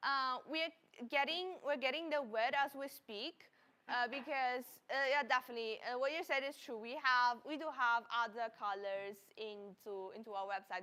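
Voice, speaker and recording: A woman speaks in a raised, projected voice at a moderate pace. Her pitch is high, with a bright, sharp tone and ordinary pitch variation. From Italy. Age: 20s. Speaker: livestream product presenter. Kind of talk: live sales stream. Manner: halting, many repetitions and fillers.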